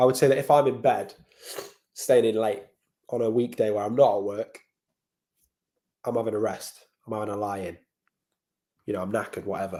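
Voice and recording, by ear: A man does a raspy, put-on character voice at medium pitch, talking at a fairly quick pace broken by long, frequent pauses.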